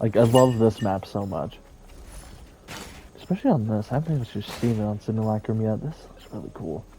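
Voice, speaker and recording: Talking at a fairly quick pace, the man leaves long, frequent pauses and shows big swings in loudness and ordinary pitch variation. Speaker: gaming youtuber. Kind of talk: casual gameplay commentary. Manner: casual, rambling with fillers.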